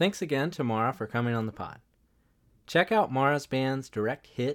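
Recorded very cleanly against a silent background, a man speaks at a medium pitch with lively intonation. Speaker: podcast host. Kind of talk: casual chat.

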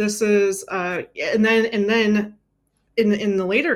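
An unremarkable speaking voice from a woman, medium in pitch, with fairly even intonation. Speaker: neuroscientist turned cloud trainer. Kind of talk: casual interview chat. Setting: live stream.

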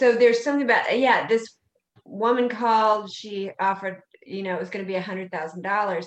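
A woman speaks at a fairly quick pace in a plain, everyday voice with a fairly high pitch. Her pitch variation is ordinary, while her loudness swings widely. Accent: American. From US South, South Carolina. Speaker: podcast host. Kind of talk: casual chat.

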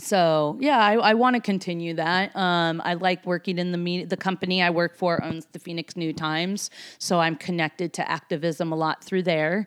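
Recorded very cleanly with a silent background and a dry, close sound with no echo, a woman with an American accent and an ordinary speaking voice talks at a moderate pace in a fairly low pitch with ordinary pitch variation and hardly any pauses. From Seattle and New York. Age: 40s. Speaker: tour manager. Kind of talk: casual chat.

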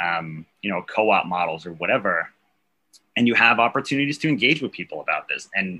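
With an American accent, a man uses a plain, everyday voice at a medium pitch, a fairly quick pace and lively intonation. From New York City, Staten Island. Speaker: socialist activist. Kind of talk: casual interview.

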